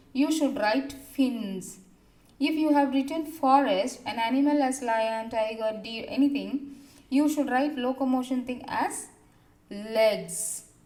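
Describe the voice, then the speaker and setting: A dark, mellow tone at a fairly slow pace with ordinary pitch variation, set in audible room echo. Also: woman. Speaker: school teacher. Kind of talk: recorded online class lesson.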